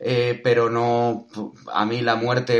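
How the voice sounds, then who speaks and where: A man talks very slowly. His pitch sits in the medium range. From Spain. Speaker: podcast host. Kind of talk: casual interview.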